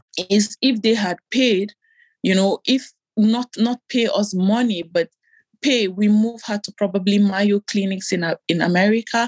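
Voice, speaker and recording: Fairly even intonation marks this somewhat breathy voice. The recording is dry and close, with no echo. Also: woman. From Nigeria. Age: 30s. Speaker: patient sharing infertility story. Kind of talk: personal testimony interview. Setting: remote call.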